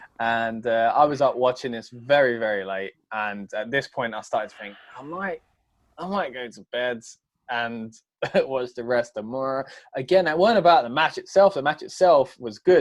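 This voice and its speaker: A man with a British accent, a medium pitch, lively intonation, big swings in loudness and a moderate pace. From Britain. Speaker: wrestling podcast host. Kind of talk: casual chat.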